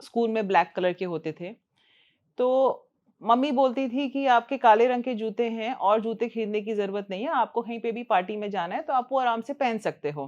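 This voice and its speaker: Against a quiet background, a woman talks in an unremarkable speaking voice, fairly high-pitched with ordinary pitch variation. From northern India, near Delhi. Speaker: ENT doctor. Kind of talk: interview. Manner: conversational.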